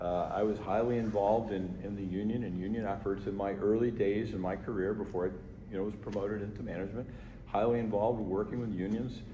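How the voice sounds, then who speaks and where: A man's voice is fairly low, dark and mellow, and somewhat breathy, with fairly even intonation. He speaks at a fairly quick pace amid audible room echo. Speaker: fire chief. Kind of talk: community meeting Q&A. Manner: conversational, repetitive.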